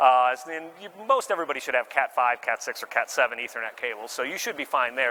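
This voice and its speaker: Over noticeable background noise, a man talks at a very fast pace. His pitch is medium with ordinary pitch variation. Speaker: marketing director giving conference talk. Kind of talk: presentation. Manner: casual with many fillers.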